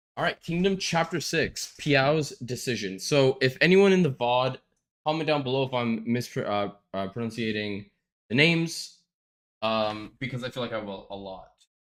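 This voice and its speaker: Speaking at a moderate pace, a man with a medium-pitched voice uses lively intonation. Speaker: streamer reading manga aloud. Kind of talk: reading aloud with casual commentary. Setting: live stream.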